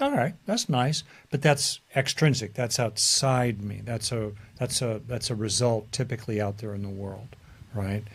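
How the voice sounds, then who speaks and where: This very clean recording, with a silent background, features a man with an American accent and a medium pitch. He sounds somewhat breathy, with ordinary pitch variation and a moderate pace. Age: 70s. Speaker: psychologist. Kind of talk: interview. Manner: hesitant, many fillers.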